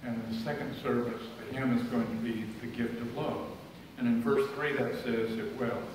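A man talks at a moderate pace with fairly even intonation, his voice carrying strong room echo over noticeable background noise. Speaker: lay speaker. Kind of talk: sermon. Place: church. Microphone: camera far.

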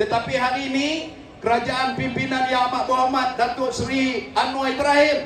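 A fairly slow pace over light background noise, with audible room echo. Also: man. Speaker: politician. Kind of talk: political rally speech. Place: hall.

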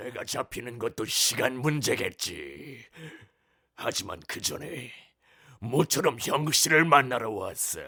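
Speaking fairly slowly, a man puts on a raspy character voice at a medium pitch. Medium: voice reel. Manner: eerie, brooding.

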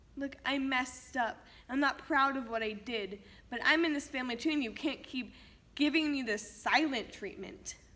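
A raised, projected voice, bright and sharp in tone, moving at a moderate pace. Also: woman, high pitch for a woman, ordinary pitch variation. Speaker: actor performing a monologue. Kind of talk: acting out a tense family argument, scripted dramatic monologue. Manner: angry, accusatory, raised and cutting. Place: studio.

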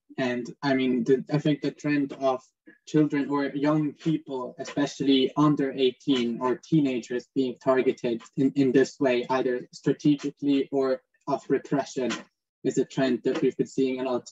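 In a dark, mellow tone, a man with a fairly high pitch speaks at a moderate pace in a monotone, flat intonation. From Switzerland. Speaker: student moderator. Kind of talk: panel moderation. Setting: video call. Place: home room. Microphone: video call.

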